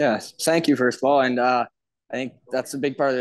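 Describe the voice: A man talks fast with a medium pitch. The sound is dry and close, with no echo.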